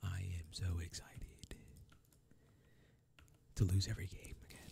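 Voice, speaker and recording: Soft-spoken, relaxed delivery at a moderate pace, the sound dry with no echo but with noticeable background noise. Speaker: gaming channel host. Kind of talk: casual gameplay commentary to camera. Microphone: studio mic.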